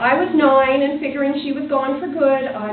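A woman with a high pitch speaks at a moderate pace. Light background noise and audible room echo are present. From New Brunswick, Canada. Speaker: novelist. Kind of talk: reading aloud. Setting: pub event with audience. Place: bar.

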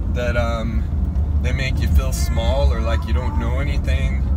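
Music plays in the background. Over it, a man talks at a moderate pace. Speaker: faith vlogger. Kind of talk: casual vlog chat, exhortation. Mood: earnest, encouraging. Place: car. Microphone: phone near.

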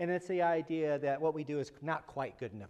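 Against a quiet background, a man with a fairly high pitch talks at a fairly quick pace with ordinary pitch variation. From US Midwest. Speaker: psychology researcher and speaker. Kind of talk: lecture. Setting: lecture hall with live audience. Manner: jokey, self-deprecating. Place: classroom.

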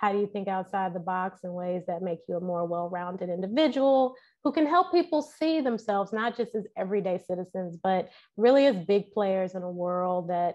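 With lively intonation, a woman keeps to a moderate pace. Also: quiet background. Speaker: guest. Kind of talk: interview answer. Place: home room. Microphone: earbuds.

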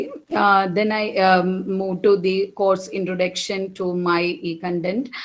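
Against noticeable background noise, a woman talks at a fairly slow pace with a medium pitch and fairly even intonation. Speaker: college teacher. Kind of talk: presentation. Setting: video call.

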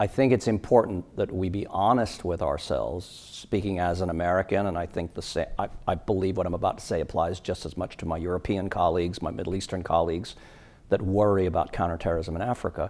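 A man talks at a very fast pace. His very deep, low voice keeps fairly even intonation. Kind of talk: interview answer. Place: hall. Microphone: lapel.

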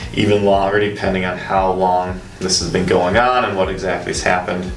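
Over light background noise and audible room echo, a man speaks at a very deep, low pitch with fairly even intonation. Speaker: chiropractor. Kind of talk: demonstration explanation. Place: office. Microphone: camera far.

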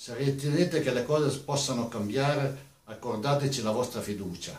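A man's voice carries ordinary pitch variation within audible room echo. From Piedmont, Italy (Gattinara); Piedmont. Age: 60s. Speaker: mayoral candidate; election candidate. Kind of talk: campaign statement. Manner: formal. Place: studio.

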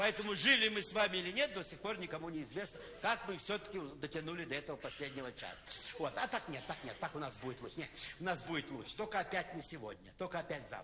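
Someone talks at a very fast pace, with noticeable background noise behind them. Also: man. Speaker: comic performer. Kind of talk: satirical stage monologue. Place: stage.

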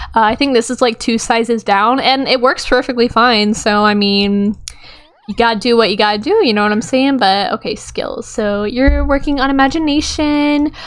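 An animated woman's voice, fairly high in pitch with ordinary pitch variation, at a moderate pace over noticeable background noise. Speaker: gaming YouTuber. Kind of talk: casual gameplay commentary. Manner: animated, chatty.

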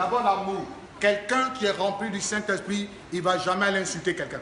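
A man's raised, projected voice with ordinary pitch variation carries an audible room echo over light background noise. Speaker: preacher. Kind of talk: sermon. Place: church. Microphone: handheld.

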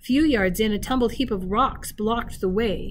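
Ordinary pitch variation from an unforced reading voice

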